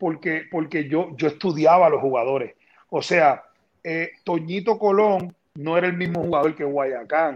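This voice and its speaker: A man speaks at a fairly slow pace in a Puerto Rican accent. His voice is fairly high, with ordinary pitch variation. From Puerto Rico, Toa Alta. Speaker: basketball general manager, former player. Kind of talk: interview.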